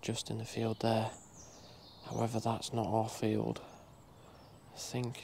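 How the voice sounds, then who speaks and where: A man talks at a fairly slow pace. Long, frequent pauses break up his speech. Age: 20s. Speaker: deer stalker. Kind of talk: outdoor walk-and-talk commentary. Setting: outdoors.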